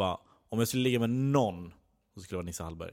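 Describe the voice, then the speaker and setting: On a very clean recording with a silent background, a man speaks at a fairly low pitch with lively intonation. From Skara, Västergötland, Sweden. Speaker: comedy writer. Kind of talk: casual chat.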